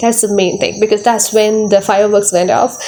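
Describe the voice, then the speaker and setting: Noticeable background noise accompanies a woman speaking with a non-native accent. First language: not English. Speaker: tarot reader. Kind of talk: tarot reading monologue. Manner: halting, many fillers and repetitions.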